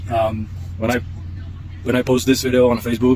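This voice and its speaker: Noticeable background noise sits behind this recording. A man talks at a fairly quick pace in a monotone, flat intonation. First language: Czech. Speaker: product tester, outdoor enthusiast. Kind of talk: casual vlog-style product review. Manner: halting, many fillers.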